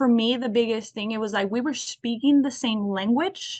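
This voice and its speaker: This woman's fairly high voice moves at a moderate pace with fairly even intonation. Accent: Spanish. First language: Spanish. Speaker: alumni career panelist. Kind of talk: panel discussion.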